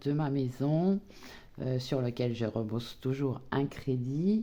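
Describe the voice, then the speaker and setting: A dark, mellow tone moves at a very slow pace. Pitch variation is ordinary, and the background is quiet. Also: woman. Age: 60s. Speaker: retired budgeting vlogger. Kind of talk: casual personal budget vlog. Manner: hesitant, many fillers.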